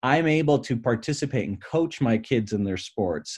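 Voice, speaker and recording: A man with an American accent speaks at a moderate pace in a medium pitch, his dark, mellow tone carried by lively intonation over a quiet background. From Michigan. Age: 40s. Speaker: business broker and coach. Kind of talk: interview conversation.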